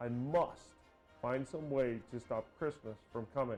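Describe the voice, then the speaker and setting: Growling in a put-on character voice, a man talks at a medium pitch and a fairly slow pace. Music plays in the background. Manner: snarling, scheming.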